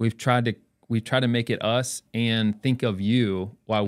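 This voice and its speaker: A man with a fairly low pitch speaks in an unremarkable speaking voice. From North Carolina and northeast Ohio. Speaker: optical shop owner. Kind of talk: casual interview. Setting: studio.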